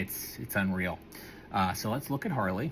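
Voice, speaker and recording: A somewhat breathy man talks at a very fast pace with lively intonation in an American accent. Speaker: toy collector vlogger. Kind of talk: unboxing review vlog. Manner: casual, halting with fillers.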